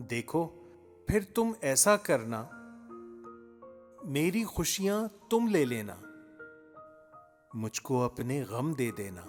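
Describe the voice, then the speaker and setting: Music plays in the background as a man speaks at a fairly high pitch. His pitch swings very widely. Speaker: poetry reciter. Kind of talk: poetry reading. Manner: elegant, refined Urdu diction.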